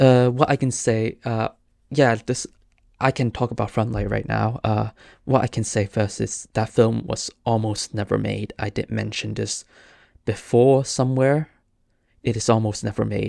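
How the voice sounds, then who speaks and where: A man with a Cantonese accent at a moderate pace, in a dry, close sound with no echo, on a very clean recording with a silent background. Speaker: podcast host, filmmaker. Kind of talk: casual solo podcast talk. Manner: halting, many fillers and restarts.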